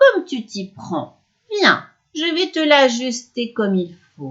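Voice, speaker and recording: Putting on a character voice, a woman speaks at a high pitch and fairly slow pace, with very wide pitch swings and big swings in loudness. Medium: read story. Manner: wheedling, falsely kind.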